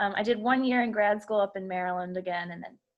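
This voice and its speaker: In an American accent, a woman speaks at a moderate pace with ordinary pitch variation. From US Mid-Atlantic, Baltimore area. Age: 30s. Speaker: teacher. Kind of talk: interview. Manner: hesitant, many fillers.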